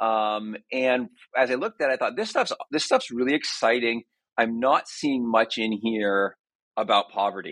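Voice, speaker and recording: Speaking at a moderate pace and medium pitch, a man keeps a fairly even intonation in a dry, close sound with no echo. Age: 40s. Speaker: author and literature scholar. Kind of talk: interview. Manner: halting, many fillers.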